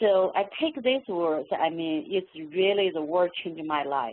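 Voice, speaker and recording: A woman speaks with a Chinese accent. Her pitch is fairly low, with ordinary variation. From China. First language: Mandarin Chinese. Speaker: professor. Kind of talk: webinar talk. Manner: halting.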